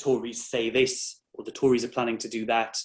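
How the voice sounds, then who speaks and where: With a slight North East England accent, a man speaks at a moderate pace in a medium pitch, his intonation monotone and flat. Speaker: employment law barrister. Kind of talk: interview.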